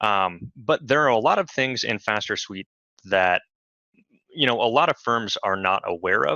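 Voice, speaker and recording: A man speaks at a medium pitch with lively intonation and a bright, sharp tone, in a dry, close sound with no echo against a quiet background. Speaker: software support specialist hosting webinars. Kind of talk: webinar tutorial. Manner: fast; many fillers, casual.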